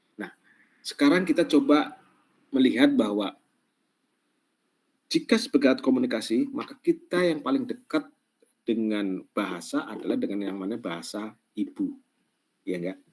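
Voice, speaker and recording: Moderate pace from a man, broken by long, frequent pauses. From Central Java, Pemalang. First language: Javanese (Banyumasan dialect) (speaking Indonesian). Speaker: lecturer. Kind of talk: online class lecture. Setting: online class. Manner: halting, many fillers.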